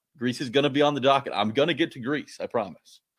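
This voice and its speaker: Fairly high in pitch, a man talks at a fairly quick pace. The recording is very clean, with a silent background. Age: 20s. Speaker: fill-in sports talk co-host. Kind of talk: casual chat.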